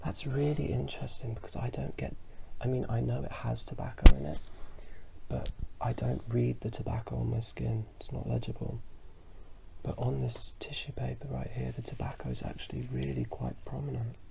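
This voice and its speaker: Whispering and mumbling at a fairly quick pace, the speaker is heard over noticeable background noise. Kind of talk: ASMR fragrance review. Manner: whispered.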